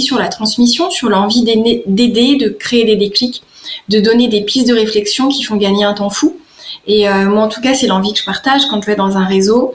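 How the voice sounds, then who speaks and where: A woman speaks at a moderate speed in a fairly high voice with ordinary pitch variation, noticeable noise audible behind her. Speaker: business networking coach. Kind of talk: radio interview. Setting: radio studio. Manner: hesitant, many fillers.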